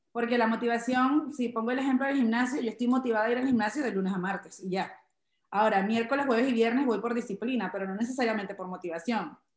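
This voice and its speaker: Very fast speech from a woman at a fairly high pitch, with ordinary pitch variation. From Venezuela, Guárico state (Chaguaramas). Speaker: comedian. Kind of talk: interview conversation.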